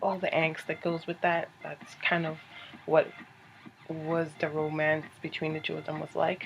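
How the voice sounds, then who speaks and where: Quietly whispering at a fairly slow pace, a woman is heard over noticeable background noise. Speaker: book reviewer. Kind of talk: casual video review. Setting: at home, company nearby. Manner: quiet, whispery.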